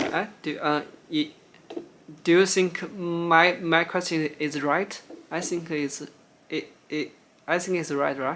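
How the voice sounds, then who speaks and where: A man with a Chinese accent speaks at a high pitch in a monotone, flat way. His pace is very slow, with long, frequent pauses. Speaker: YouTuber, former figure skating coach. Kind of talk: casual chat; reading aloud. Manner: halting, many restarts.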